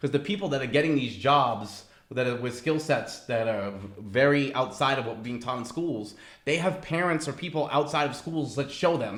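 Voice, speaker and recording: An ordinary speaking voice from a man with an American accent, fairly high-pitched, at a fairly quick pace with ordinary pitch variation. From Massachusetts. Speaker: risk management professional. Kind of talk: interview answer.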